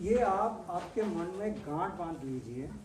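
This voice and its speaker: Audible room echo and noticeable background noise surround a man whose pitch variation is ordinary. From Bengal, India. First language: Bengali (speaking Hindi). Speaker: agricultural scientist. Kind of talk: farmer training lecture.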